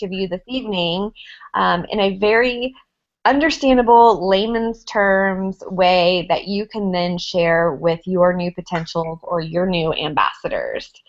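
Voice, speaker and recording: A woman with an American accent speaks at a fairly slow pace. Her pitch variation is ordinary. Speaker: network marketing ambassador. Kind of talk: training presentation.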